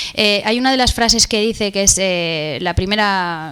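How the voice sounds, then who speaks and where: A woman speaks at a moderate pace with a Spanish accent. Her pitch sits in the middle range, and there is noticeable background noise. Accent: Peninsular Spanish. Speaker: event moderator. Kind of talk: conference interview. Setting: stage with audience.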